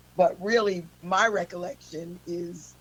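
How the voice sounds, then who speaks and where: Over noticeable background noise, a woman speaks with a fairly low pitch and ordinary pitch variation. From US Pacific Northwest, Seattle. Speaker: blues singer. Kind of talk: radio interview.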